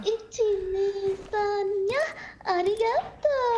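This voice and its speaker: This is a put-on character voice, squeaky and at an extremely high pitch. It moves at a very slow pace over clear background noise. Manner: cute, meowing.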